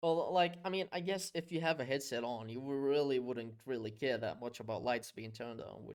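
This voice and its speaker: An unremarkable speaking voice from a man at a medium pitch, fairly quick, with lively intonation and hardly any pauses. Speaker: podcast host. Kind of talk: casual chat.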